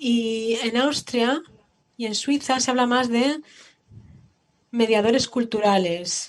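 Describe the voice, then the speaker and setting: Very slow speech with long, frequent pauses, in a German accent. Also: woman, fairly high pitch for a woman, ordinary pitch variation. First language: German (speaking Spanish). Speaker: museum educator. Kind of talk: panel discussion.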